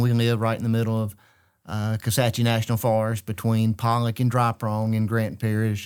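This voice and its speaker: A man's medium-pitched voice with a Louisiana accent, on a very clean recording with a silent background. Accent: Louisiana Southern US. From Central Louisiana. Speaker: state legislator. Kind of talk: interview conversation. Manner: halting, many fillers.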